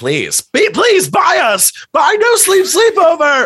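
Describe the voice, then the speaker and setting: Speaking very slowly, the voice is a put-on character voice pitched extremely high. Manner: pleading.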